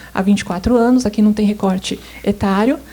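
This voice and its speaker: Soft-spoken and somewhat breathy, a woman talks at a medium pitch in a dark, mellow tone. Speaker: government statistics coordinator. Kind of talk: conference presentation. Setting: seminar stage with audience. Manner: hesitant, many filler sounds.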